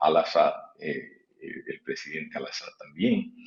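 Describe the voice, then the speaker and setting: A man speaks here. His pace is fairly slow. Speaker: interview guest, political commentator. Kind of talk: TV interview. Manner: halting; soft-spoken. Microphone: too quiet.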